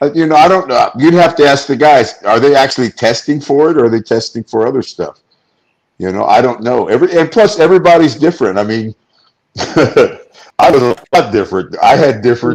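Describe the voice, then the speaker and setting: Lively in intonation, a man talks at a fairly quick pace in a plain, everyday voice with a fairly high pitch. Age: 60s. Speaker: retired pro wrestler. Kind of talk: casual chat. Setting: studio.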